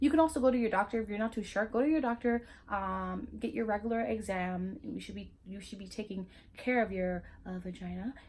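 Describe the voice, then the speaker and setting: There is a somewhat breathy quality to this woman's voice. She talks at a fairly quick speed. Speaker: YouTuber. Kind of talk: casual vlog talk. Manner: halting, with fillers and restarts.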